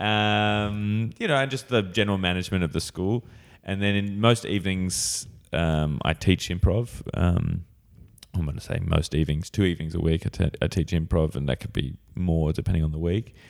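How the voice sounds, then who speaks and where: Here a man with an Australian accent talks at a moderate pace, his very deep, low voice carrying lively intonation. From Australia, Sydney. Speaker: improv comedian and teacher. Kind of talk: casual chat.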